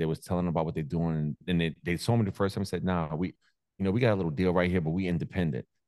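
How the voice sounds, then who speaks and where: With a New York accent, a man rattles along at a very fast pace in a very deep, low pitch. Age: 40s. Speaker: content creator and DJ. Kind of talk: casual chat. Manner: animated.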